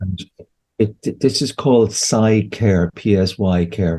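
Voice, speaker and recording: A man with an Irish accent and fairly even intonation. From Ireland. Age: 60s. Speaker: homeopath and therapist. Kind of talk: interview conversation. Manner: halting, with frequent repetitions.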